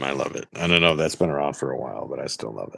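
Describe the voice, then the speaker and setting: A man with an American accent speaks at a very deep, low pitch. Vocal fry runs through his voice. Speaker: fellow YouTuber. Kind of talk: casual chat. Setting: live stream.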